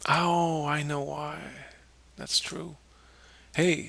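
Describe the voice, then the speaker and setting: A man speaks at a very slow pace. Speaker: software tutorial presenter. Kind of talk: screen-recorded tutorial.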